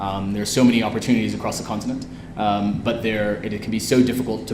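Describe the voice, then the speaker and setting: With an American accent and a fairly low pitch, a man speaks amid noticeable background noise and audible room echo. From US West Coast, San Francisco. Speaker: entrepreneur. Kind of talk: interview at live event. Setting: event with audience.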